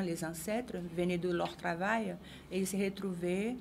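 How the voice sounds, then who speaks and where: A woman speaks with a Brazilian accent at a medium pitch. Her intonation is fairly even, and the room echo is audible. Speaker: samba choreographer, association vice-president. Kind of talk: interview. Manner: halting, many hesitations.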